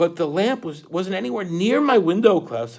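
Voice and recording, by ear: The intonation is lively. The text is read aloud in a natural voice.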